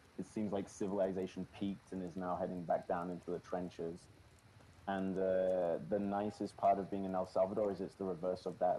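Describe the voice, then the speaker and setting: With a British accent, a man speaks fairly quickly in a very deep, low, monotone voice of dark, mellow tone and flat intonation. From United Kingdom. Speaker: bitcoiner podcast guest. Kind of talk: casual chat. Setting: El Salvador, recorded on location.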